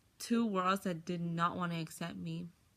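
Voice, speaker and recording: Her tone bright and sharp, a woman with a slight Spanish accent speaks fairly quickly at a medium pitch with fairly even intonation. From US, Mexican-American family. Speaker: college student. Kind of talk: personal testimony.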